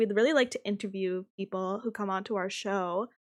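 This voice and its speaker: Captured on a very clean recording, a woman talks against a silent background. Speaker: streamer and podcast co-host. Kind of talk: casual chat. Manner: loud.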